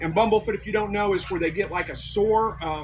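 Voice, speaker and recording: Noticeable background noise sits under a man talking at a very fast pace. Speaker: quail and rabbit homesteader giving a talk. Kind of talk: presentation to a live audience. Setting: convention room with audience. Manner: projecting, loud.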